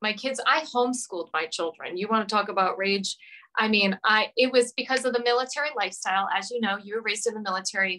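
In an American accent, a woman talks very fast in a fairly high, bright, sharp, animated tone with ordinary pitch variation. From US Northeast, Rhode Island. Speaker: marriage and family counselor; interview guest. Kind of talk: casual chat. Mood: emotional personal storytelling. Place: home room. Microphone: video call.

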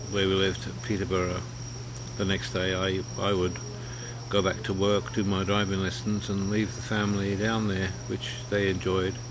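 Noticeable background noise beneath a male speaker's lively intonation. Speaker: personal video blogger. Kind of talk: casual talk to camera. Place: garden. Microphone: webcam.

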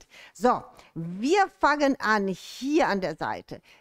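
Against a quiet background, a woman speaks at a high pitch that makes very wide swings. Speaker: shop host presenting products. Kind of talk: livestream presentation. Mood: cheerful, welcoming. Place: studio. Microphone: headset.

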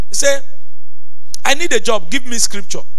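The voice is raised and projected. Its pitch swings very widely. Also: man. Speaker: pastor. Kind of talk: sermon. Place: church. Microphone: handheld.

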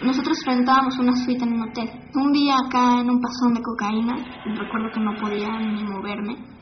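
Noticeable background noise surrounds a woman with a Mexico City accent and high pitch. Her intonation is fairly even at a moderate pace. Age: 20s. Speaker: documentary interviewee. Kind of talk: personal testimony. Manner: casual slangy speech.

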